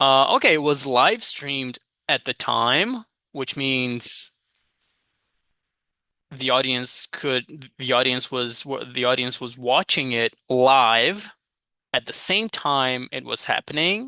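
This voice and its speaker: A bright, sharp voice moves at a very slow pace with long, frequent pauses, in a dry, close sound with no echo over a quiet background. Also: man, medium pitch for a man, ordinary pitch variation. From Brazil. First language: Portuguese. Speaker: English teacher. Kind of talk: study vlog, reading aloud and thinking out loud. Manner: casual, self-talk.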